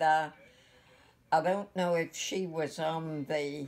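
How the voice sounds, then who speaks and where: Speaking very slowly in an Appalachian accent, a woman keeps a fairly low pitch and a monotone, flat intonation. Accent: Appalachian American. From West Virginia, USA. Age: 80s+. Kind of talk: interview answer. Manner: hesitant, reminiscing.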